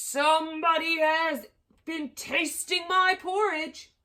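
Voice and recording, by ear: Speaking fairly slowly, a woman uses a put-on character voice. Her pitch is extremely high.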